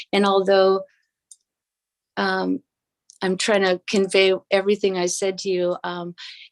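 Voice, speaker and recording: Over a quiet background, a woman speaks fairly slowly at a medium pitch in a monotone, flat intonation. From Southeast Alaska. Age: 60s. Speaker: Alaska Native language advocate, event co-host. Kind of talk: speech to a virtual audience; announcing prize winners. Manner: halting, many fillers.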